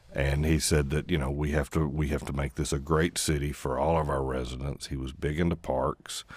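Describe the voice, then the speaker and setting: A man with an American accent speaks at a very deep, low pitch with vocal fry. His intonation is monotone and flat, and his pace is moderate. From East Tennessee. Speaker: newspaper columnist and author. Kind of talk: radio interview. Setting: radio studio. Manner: soft-spoken.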